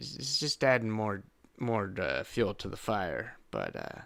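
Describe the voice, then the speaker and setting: A raspy, put-on character voice moves at a fairly slow pace. Its pitch varies an ordinary amount. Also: man, medium pitch for a man. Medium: actual play. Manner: halting, rambling, formal.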